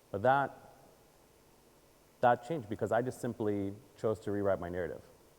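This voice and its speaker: A man talks at a fairly quick pace in a fairly low pitch. His tone is animated. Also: ordinary pitch variation. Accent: Israeli. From Israel, then Baltimore, Maryland from age eight. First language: Hebrew. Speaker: communications advisor and conference speaker. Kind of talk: audience Q&A; keynote talk. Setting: stage with audience.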